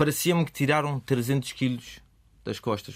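In a very clean recording with a silent background, a man with a Persian accent talks at a fairly quick pace. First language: Persian (speaking Portuguese). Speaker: interview guest. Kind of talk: interview.

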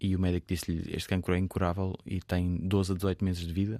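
A man talks at a fairly quick pace in a very deep, low, monotone voice. The recording is very clean and silent, with a dry, close sound and no echo. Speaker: author. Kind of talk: casual chat.

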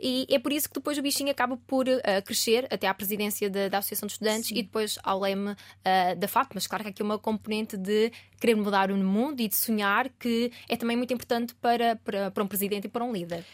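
A woman talks very fast at a fairly high pitch with ordinary pitch variation. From Portugal, Aveiro district. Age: 20s. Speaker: student union president. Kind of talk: interview. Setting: studio.

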